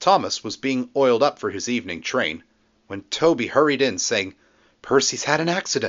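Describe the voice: What comes through is plain reading aloud.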